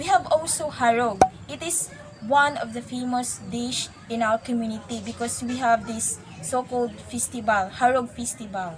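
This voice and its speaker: A woman with a Visayan accent speaks at a moderate pace and fairly high pitch, her intonation lively and her loudness swinging widely. Noticeable background noise runs underneath. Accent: Filipino English, Visayan. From Philippines, Socorro (Visayas/Mindanao). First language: Visayan (Socorronhon dialect). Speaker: college student. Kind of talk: interview.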